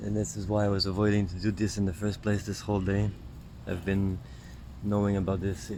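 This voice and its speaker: Soft-spoken and fairly low in pitch, a man talks at a fairly quick pace. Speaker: spiritual healer and vlogger. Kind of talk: stream-of-consciousness monologue. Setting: outdoors, sitting in the grass. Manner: soft-spoken, lowered voice; halting, many fillers.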